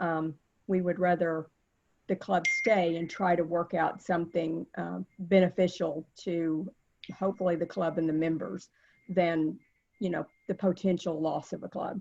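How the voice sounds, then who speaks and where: With a Texas accent, a woman speaks in a fairly low, monotone, flat voice with long, frequent pauses. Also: moderate pace. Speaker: service club officer. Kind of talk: virtual meeting remarks. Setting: video call.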